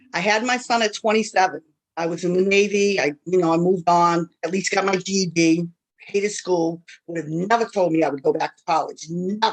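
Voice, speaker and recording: Speaking at a fairly quick pace in an American accent, a woman shows big swings in loudness. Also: medium pitch for a woman. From Worcester, Massachusetts, US. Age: 50s. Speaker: panelist, parent leader. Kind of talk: personal testimony. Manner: conversational, animated.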